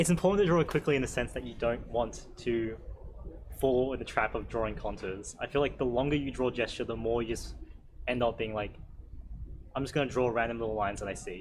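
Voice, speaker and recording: With audible room echo, a man talks at a very fast pace in a medium pitch, his pitch varying in an ordinary way. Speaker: drawing workshop instructor. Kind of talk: workshop Q&A lecture.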